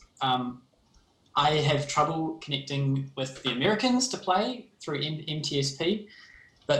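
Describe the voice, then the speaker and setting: A man with a New Zealand accent and a fairly high pitch. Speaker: game developer. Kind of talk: livestream presentation. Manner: hesitant, many fillers.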